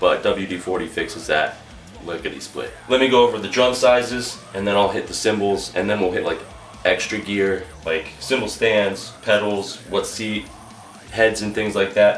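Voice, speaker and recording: Man's voice with audible room echo and noticeable background noise. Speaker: drummer in a metal band. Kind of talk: gear rundown tutorial. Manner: fast; casual.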